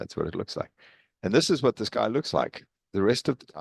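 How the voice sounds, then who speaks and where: Fairly low in pitch, a man's voice carries vocal fry and very wide pitch swings. He keeps a moderate pace, and the sound is dry and close with no echo. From South Africa, East London. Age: 60s. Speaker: professor emeritus of engineering. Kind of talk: presentation talk. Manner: hesitant with fillers.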